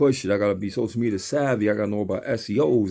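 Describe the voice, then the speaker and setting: In a very clean recording with a silent background, a man with a fairly low pitch and a dark, mellow tone talks at a very fast pace with ordinary pitch variation. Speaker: rapper and studio owner. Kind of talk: casual monologue.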